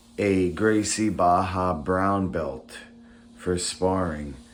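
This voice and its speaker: Audible room echo surrounds the voice. A man talks at a fairly low pitch and a very slow pace. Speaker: vlogger. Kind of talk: casual vlog monologue. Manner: halting.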